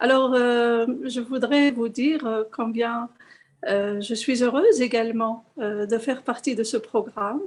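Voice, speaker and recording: The pace stays moderate while the intonation remains fairly even. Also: woman, high pitch for a woman. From Morocco. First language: Arabic. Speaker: program representative. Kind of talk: remarks in online seminar. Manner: hesitant.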